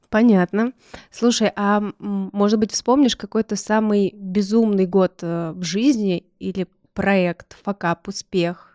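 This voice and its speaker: At a very slow pace, a woman speaks with a dark, mellow tone, medium pitch and fairly even intonation, the sound dry and close with no echo on a very clean recording with a silent background. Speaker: podcast co-host, non-technical. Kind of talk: casual chat.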